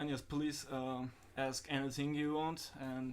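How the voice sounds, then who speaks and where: Audible room echo surrounds a man with a Turkish accent. His pitch is medium and his pace fairly slow. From Turkey (Antalya). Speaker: podcast host. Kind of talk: casual chat. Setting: live stream.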